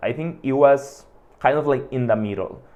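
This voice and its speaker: A man with a Mexican accent, fairly high in pitch, at a moderate pace with ordinary pitch variation. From Mexico, Hermosillo. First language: Spanish. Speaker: podcast host. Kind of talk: monologue. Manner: casual, filler-heavy.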